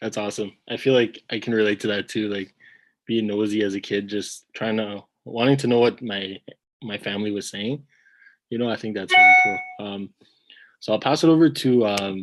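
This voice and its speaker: A man with a Canadian accent talks at a moderate pace in an unremarkable speaking voice. His pitch sits fairly low and his intonation stays fairly even. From Ontario. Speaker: webinar host. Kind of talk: webinar panel discussion. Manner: casual, many fillers.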